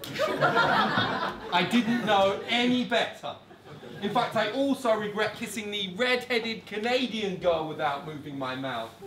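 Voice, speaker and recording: Noticeable background noise sits behind a man's high-pitched voice. He talks at a fairly slow pace with lively intonation. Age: 30s. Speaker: spoken word poet. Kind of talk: performance poetry reading. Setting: live venue.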